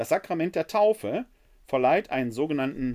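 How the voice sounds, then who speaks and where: A man's voice swings very widely in pitch. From Ruhr area, Germany (Essen). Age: 50s. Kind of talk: theology lecture. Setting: live webinar.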